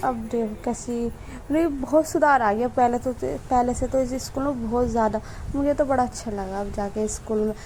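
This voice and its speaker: A woman speaks at a fairly slow pace. Her pitch is high, with ordinary variation. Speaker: vlogger. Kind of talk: vlog voiceover narration. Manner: casual, halting with self-corrections.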